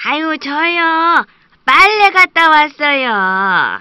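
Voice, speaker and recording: A woman puts on a character voice at an extremely high pitch with very wide pitch swings. She speaks at a very slow pace. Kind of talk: children's fairy tale acting. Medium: read story. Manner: sighing, exclamatory.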